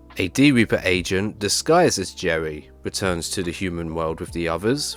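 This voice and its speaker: Music can be heard in the background. Over it, a man talks with lively intonation. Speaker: YouTube anime commentator. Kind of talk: video essay narration.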